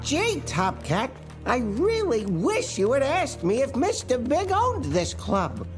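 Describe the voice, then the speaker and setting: Clear music sits in the background. A cartoonish character voice speaks at a fairly slow pace. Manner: gentle, innocent.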